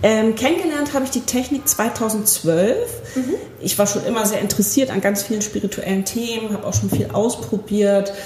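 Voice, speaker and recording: There is noticeable background noise behind this woman's voice. She speaks at a moderate pace with fairly high pitch and ordinary pitch variation. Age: 40s. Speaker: spiritual healing practitioner. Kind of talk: interview. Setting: practice room.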